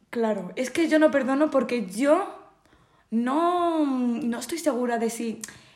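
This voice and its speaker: A woman at a high pitch, with lively intonation at a very slow pace, in audible room echo. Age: 20s. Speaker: podcast guest, friend of host. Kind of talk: casual chat. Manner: quiet. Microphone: far from the mic.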